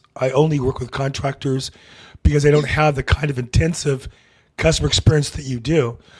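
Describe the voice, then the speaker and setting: A man speaks at a fairly quick pace in a somewhat breathy, fairly high-pitched voice with fairly even intonation. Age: 60s. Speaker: real estate podcast host. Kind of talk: interview.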